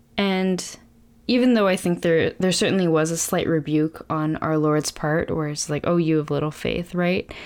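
A plain, everyday voice with fairly even intonation, on a very clean recording with a silent background. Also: woman. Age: 20s. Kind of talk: casual faith discussion.

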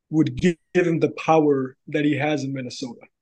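A man with a normal speaking voice talks at a moderate pace, his pitch fairly high and his intonation fairly even. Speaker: sports fan guest. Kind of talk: casual sports talk podcast.

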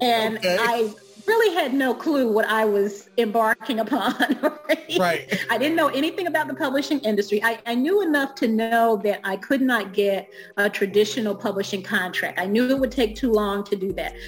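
This woman has a plain, everyday voice with an American accent, fairly high in pitch. Her intonation is lively and her pace moderate. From Alabama, US South. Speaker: author and self-publishing coach. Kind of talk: interview podcast.

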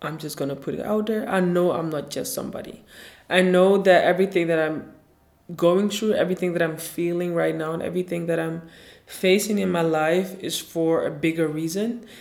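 Fairly quick and fairly even in intonation, a woman with a fairly low voice speaks in a room with audible echo. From Ghana. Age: 20s. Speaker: podcast host and blogger. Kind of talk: solo podcast introduction monologue.

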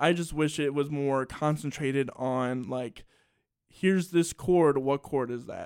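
At a fairly slow pace, a man with a normal speaking voice and fairly high pitch is heard in a dry, close sound with no echo. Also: fairly even intonation. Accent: American. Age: 20s. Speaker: podcast host and musician. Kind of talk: casual interview. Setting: studio, broadcast on radio.

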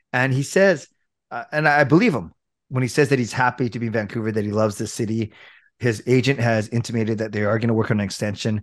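A man with a western Canadian accent, medium pitch and ordinary pitch variation, talking at a very fast pace on a very clean recording with a silent background. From Richmond, British Columbia, Canada. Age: 40s. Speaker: hockey YouTuber. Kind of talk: casual chat.

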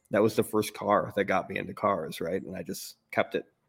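A man talks at a fairly quick pace with a fairly low pitch. He has an ordinary speaking voice. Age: 40s. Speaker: car podcast co-host. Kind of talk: casual chat.

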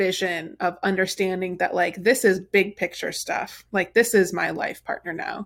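A woman with an unremarkable speaking voice talks at medium pitch and a moderate pace. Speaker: podcast host. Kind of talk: casual chat. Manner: chatty, fills with 'like'.

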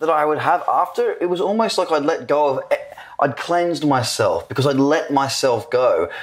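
This man speaks with an Australian accent at a fairly slow pace. The recording is very clean, with a silent background. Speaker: podcast host. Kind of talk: casual interview. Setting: at a conference in Dubai.

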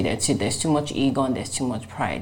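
Audible room echo surrounds a woman whose very deep, low pitch and dark, mellow tone move with ordinary variation. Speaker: podcast host. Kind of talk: interview.

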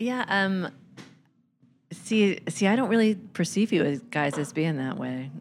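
A woman with an American accent speaks at a medium pitch, her voice swinging very widely up and down, with long pauses that come often. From Philadelphia. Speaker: podcast co-host. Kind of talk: casual chat.

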